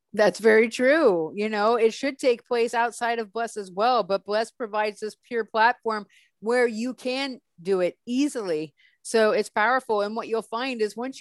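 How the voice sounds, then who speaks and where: Close and dry with no echo over a quiet background, a woman with a fairly high pitch speaks in an animated tone at a moderate pace, with ordinary pitch variation and an American accent. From Northern California. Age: 40s. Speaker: app founder. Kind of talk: interview.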